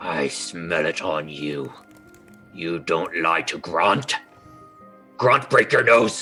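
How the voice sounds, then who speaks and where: A man growls in a put-on character voice, very deep and low in pitch. He speaks at a very slow pace with long, frequent pauses over clear music in the background. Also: ordinary pitch variation. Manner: snarling.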